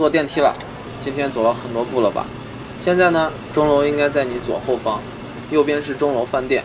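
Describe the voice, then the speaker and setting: Over noticeable background noise, a man with a fairly high pitch talks at a fairly quick pace with fairly even intonation and long, frequent pauses. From Xi'an, China. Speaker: audio tour guide. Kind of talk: guided audio walking tour.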